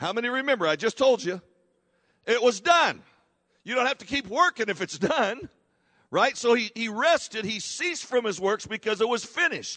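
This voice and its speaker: Raised and projected, a man's voice rings out at an extremely high pitch with a bright, sharp tone at a moderate pace. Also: dry, close sound with no echo. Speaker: pastor. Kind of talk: sermon. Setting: church. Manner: conversational, teaching-style preacher who prompts the congregation to respond; halting, self-correcting, with fillers and repeated words.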